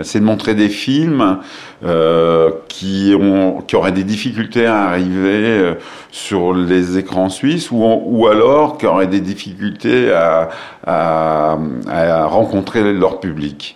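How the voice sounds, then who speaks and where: Over noticeable background noise and audible room echo, a man speaks at a very slow pace in a very deep, low pitch, with ordinary pitch variation and very even loudness. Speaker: film festival director. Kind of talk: interview. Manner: hesitant, many filler sounds and repetitions.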